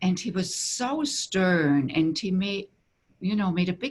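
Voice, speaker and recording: Speaking with a German accent, a woman uses lively intonation at a medium pitch. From Germany. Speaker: tantra teacher. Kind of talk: interview.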